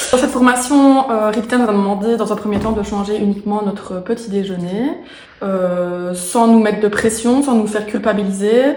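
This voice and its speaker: Moderately paced female speech amid noticeable background noise and audible room echo. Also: fairly high pitch for a woman, fairly even intonation. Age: 20s. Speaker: program participant giving testimonial. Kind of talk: testimony. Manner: halting, many hesitations.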